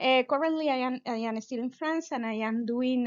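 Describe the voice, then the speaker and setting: The speaker has a Venezuelan accent and ordinary pitch variation. The pace is fairly quick. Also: woman. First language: Spanish. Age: 30s. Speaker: physicist and science communicator. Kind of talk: pop-science talk. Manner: halting, with many fillers.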